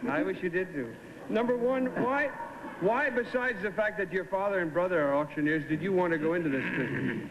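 A man speaks in a playful tone, his high pitch swinging very widely. His loudness stays very even over noticeable background noise. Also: fairly quick pace. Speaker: game show panelist. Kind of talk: game show panelist questioning contestants. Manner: playful, joking. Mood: playful, joking. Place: studio.

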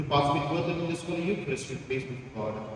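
Lively intonation from a man at medium pitch, in strong room echo.

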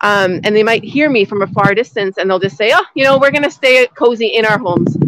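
A woman at a fairly quick pace in a dry sound with no echo. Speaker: outdoor nature educator. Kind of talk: live lesson for kindergarten children. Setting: outdoors in snow. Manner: loud, speaking up outdoors; animated, enthusiastic. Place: forest. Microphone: phone near.

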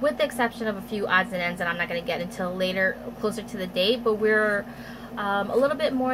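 Noticeable background noise runs under the clip. A woman speaks with ordinary pitch variation. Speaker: beauty vlogger. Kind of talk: casual haul vlog chat. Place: home room. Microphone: phone near.

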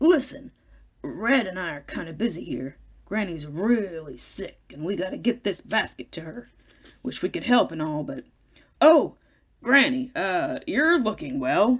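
A put-on character voice at a middle pitch, mumbling at a moderate pace with very wide pitch swings and long, frequent pauses. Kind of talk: comic read-aloud character voice. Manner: casual, mumbling, laid-back.

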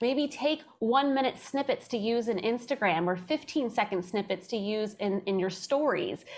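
A woman talks at a moderate pace. Her intonation is lively. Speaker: podcast guest. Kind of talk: interview answer.

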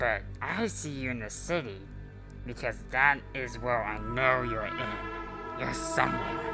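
A man talks at a moderate pace while loud music plays behind him. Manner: menacing, gloating.

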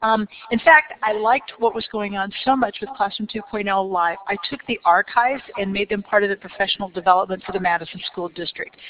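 Noticeable background noise fills the recording. Through it, a woman talks at a fairly quick pace. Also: medium pitch for a woman, ordinary pitch variation. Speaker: educator presenting on professional development. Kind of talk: conference presentation. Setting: stage with audience. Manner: animated.

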